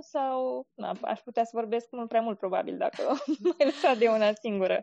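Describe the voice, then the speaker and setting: Her voice is high in pitch. This woman's intonation is lively. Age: 20s. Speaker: blogger and military employee. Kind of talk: interview.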